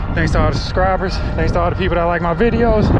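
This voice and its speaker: A man speaks over loud background noise, his voice dry with no echo. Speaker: truck driver vlogger. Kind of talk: casual vlog chat. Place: open country. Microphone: phone near.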